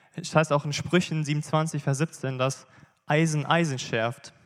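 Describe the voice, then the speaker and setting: A man with an unremarkable speaking voice talks at a fairly high pitch in fairly even intonation. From Bielefeld area, Germany. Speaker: church member giving testimony. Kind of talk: sermon testimony. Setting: church stage.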